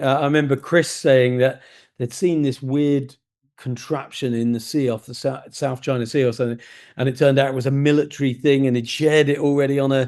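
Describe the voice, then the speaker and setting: The background is quiet as a man speaks at a fairly quick pace. His fairly high voice stays monotone and flat. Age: 60s. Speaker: podcast host. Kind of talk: interview conversation.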